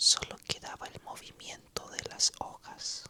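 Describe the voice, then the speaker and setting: A whispered voice moves at a very slow pace over noticeable background noise. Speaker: ASMR storyteller. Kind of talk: whispered ASMR story narration. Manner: whispered, soft, slow.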